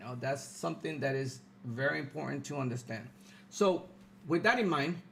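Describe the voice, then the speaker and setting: Lively intonation marks this somewhat breathy man's voice. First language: Spanish. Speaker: political podcast host. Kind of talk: live stream commentary. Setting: live stream. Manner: halting, many fillers.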